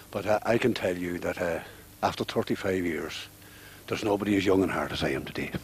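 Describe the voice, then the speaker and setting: A man with a Donegal accent, very deep, low pitch, fairly even intonation and a very fast pace broken by long, frequent pauses. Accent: Donegal Irish. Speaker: club veteran. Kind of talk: post-match interview.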